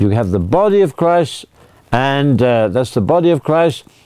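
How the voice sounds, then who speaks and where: There are very wide pitch swings in this man's voice, delivered with a British accent. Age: 80s+. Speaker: priest. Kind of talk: religious talk. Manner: halting.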